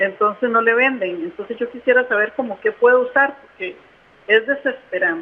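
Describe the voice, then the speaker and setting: A woman talks at a high pitch that varies in an ordinary way. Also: moderate pace. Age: 60s. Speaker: caller. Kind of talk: call-in question.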